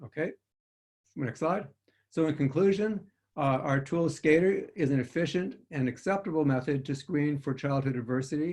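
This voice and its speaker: A man's fairly high, somewhat breathy voice with ordinary pitch variation. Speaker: physician researcher. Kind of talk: research presentation. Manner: fast.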